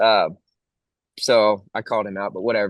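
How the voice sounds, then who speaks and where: A man with a Texan accent speaks at a fairly quick pace with fairly low pitch. The sound is dry and close with no echo, over a quiet background. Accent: own accent remarked, country Texan. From Texas. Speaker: country singer. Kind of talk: casual interview chat.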